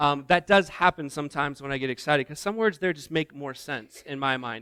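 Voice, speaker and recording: A man with an American accent talks at a fairly quick pace and a fairly high pitch, with ordinary pitch variation and big swings in loudness. His tone is bright and sharp, on a very clean recording with a silent background. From US Midwest (Indiana). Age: 40s. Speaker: missions director, guest speaker. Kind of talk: sermon. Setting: church.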